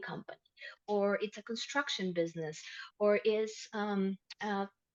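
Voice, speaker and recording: With a Spanish accent, a woman of medium pitch speaks at a moderate pace and with fairly even intonation. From Ecuador, Quito. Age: 30s. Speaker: insurance specialist. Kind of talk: interview.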